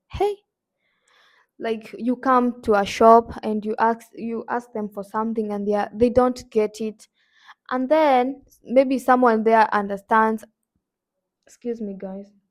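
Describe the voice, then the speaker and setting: A woman speaks in a Kenyan accent with a fairly high pitch and fairly even intonation. Her loudness swings widely, and she takes long, frequent pauses. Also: fairly slow pace. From Kenya, Nakuru. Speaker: YouTuber. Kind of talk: casual vlog.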